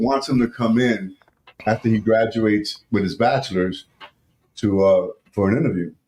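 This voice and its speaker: A man talks in a plain, everyday voice. His intonation is lively. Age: 60s. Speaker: podcast co-host. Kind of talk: casual chat. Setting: studio.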